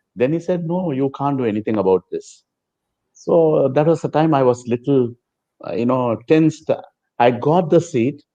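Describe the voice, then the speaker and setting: A man with a Telugu accent speaks at a fairly high pitch in a dark, mellow tone. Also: ordinary pitch variation, moderate pace. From South India, Chennai. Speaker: former student and devotee. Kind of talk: interview storytelling.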